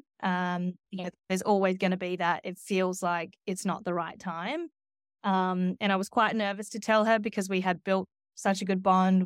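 In an Australian accent, a woman speaks at a moderate pace and medium pitch with monotone, flat intonation, her voice dry and close with no echo on a very clean recording with a silent background. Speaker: media agency executive. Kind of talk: interview.

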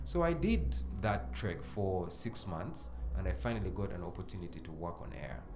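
A man with a very deep, low pitch and lively intonation, plus noticeable background noise and audible room echo. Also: moderate pace. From Uganda, Mbarara. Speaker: radio host and music A&R. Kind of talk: casual interview chat.

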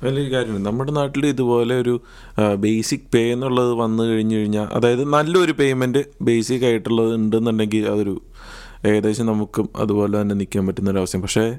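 In a normal speaking voice, a man keeps a medium pitch with ordinary pitch variation. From Palakkad, Kerala. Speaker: podcast host, student. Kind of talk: casual chat.

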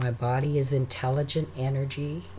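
Somewhat breathy, the voice moves at a fairly slow pace with fairly even intonation and a calm, soothing tone. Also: man. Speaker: meditation guide. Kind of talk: guided meditation. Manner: slow, calm, soothing and unhurried, with long pauses between breaths; gentle, soft-spoken, reassuring.

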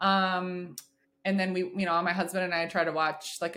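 A woman with a bright, sharp tone speaks at a fairly quick pace. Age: 30s. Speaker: freelance writer and psychometrist. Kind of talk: casual chat.

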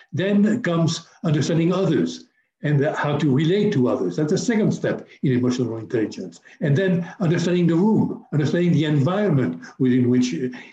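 Fairly high male voice, dark and mellow, with vocal fry, lively intonation and very even loudness. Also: fairly quick pace. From Africa. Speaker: business coach. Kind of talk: interview.

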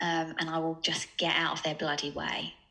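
In an Essex accent, a woman speaks with a fairly low pitch and a bright, sharp tone on a very clean recording with a silent background. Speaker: sales coach and startup co-founder. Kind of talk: casual interview chat.

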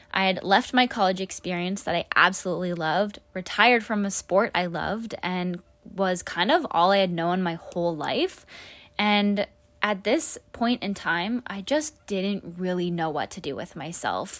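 A woman's medium-pitched, upbeat voice at a moderate pace with ordinary pitch variation. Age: 20s. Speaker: podcast host, nurse and wellness coach. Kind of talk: casual solo podcast monologue.

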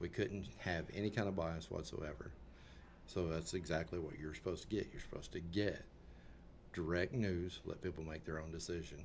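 Speaking at a fairly quick pace, a man with a very deep, low pitch and vocal fry uses ordinary pitch variation amid audible room echo. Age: 50s. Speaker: political commentator. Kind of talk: casual chat.

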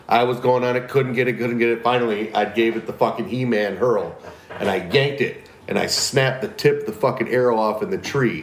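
A man's fairly quick speech with noticeable background noise and audible room echo. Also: medium pitch for a man, ordinary pitch variation. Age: 40s. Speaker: podcast co-host. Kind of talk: casual chat.

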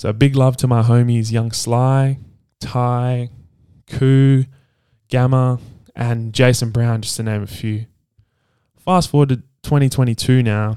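In an Australian accent, a man with a medium pitch and a dark, mellow tone talks at a fairly slow pace, leaving long, frequent pauses, his intonation monotone and flat. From Perth, Western Australia. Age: 20s. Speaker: podcast host and DJ. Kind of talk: solo podcast monologue. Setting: home recording with video.

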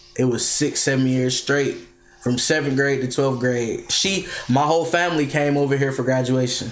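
At a moderate pace, the voice holds very even loudness and fairly even intonation over noticeable background noise and audible room echo. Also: man, fairly high pitch for a man. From Bahamas. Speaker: rapper. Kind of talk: casual chat.

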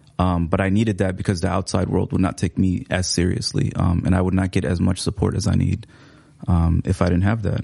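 Through noticeable background noise, a man talks at a very fast pace with a very deep, low pitch and ordinary pitch variation. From Seattle, US. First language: Somali. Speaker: writer and teacher. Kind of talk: casual interview chat. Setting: studio.

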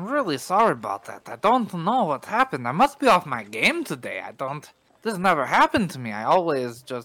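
The voice sounds natural. It is reading aloud.

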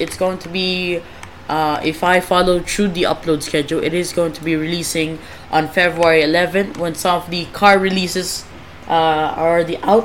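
A woman's fairly low voice at a moderate pace, fairly even in intonation but with big swings in loudness, over noticeable background noise. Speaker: podcast host. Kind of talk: casual, self-deprecating rambling.

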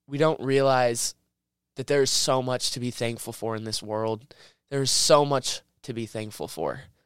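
Moderate pace and fairly even intonation on a very clean recording with a silent background. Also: man, medium pitch for a man. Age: young. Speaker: podcast host. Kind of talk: unscripted personal monologue. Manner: halting.

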